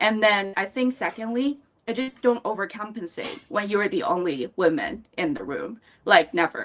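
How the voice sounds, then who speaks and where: A woman's fairly high voice with a Chinese accent, very wide pitch swings, and a moderate pace. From China, Beijing. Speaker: fintech professional, panelist. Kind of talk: panel discussion.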